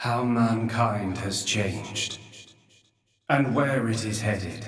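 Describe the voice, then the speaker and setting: Using a put-on character voice, a man speaks at a very slow pace and medium pitch, with slight echo in the recording. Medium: video game. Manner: slow, grave, measured.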